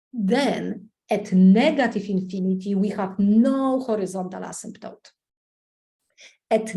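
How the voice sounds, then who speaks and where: A woman with a dark, mellow tone speaks at a fairly slow pace and medium pitch. Her pitch varies in an ordinary way, and the room echo is audible. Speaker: math teacher. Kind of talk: lecture. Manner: loud.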